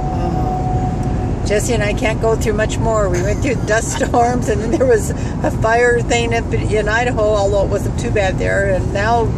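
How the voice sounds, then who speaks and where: Loud background noise sits under a fairly slow voice in a dry sound with no echo. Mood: alarmed, relieved. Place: car. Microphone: phone near.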